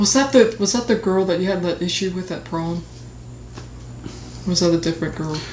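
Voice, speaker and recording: The speech moves at a fairly quick pace with ordinary pitch variation and long, frequent pauses, amid audible room echo and noticeable background noise. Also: woman, medium pitch for a woman. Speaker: podcast co-host. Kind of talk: casual chat. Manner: stuttering.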